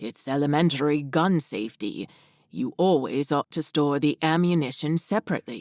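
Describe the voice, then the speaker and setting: A man puts on a character voice at a fairly high pitch with ordinary pitch variation. He keeps a moderate pace on a very clean recording with a silent background. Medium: read story. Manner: polite, gentle, slightly formal.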